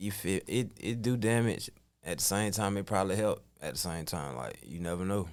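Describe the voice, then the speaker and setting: A man talks at a moderate pace with a fairly low pitch and ordinary pitch variation. Vocal fry runs through his voice. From US South (Georgia). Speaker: rapper. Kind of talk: interview. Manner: casual.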